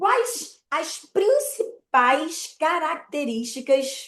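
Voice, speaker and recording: A woman is speaking. Her pitch swings very widely. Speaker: mortgage credit broker. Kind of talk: online presentation.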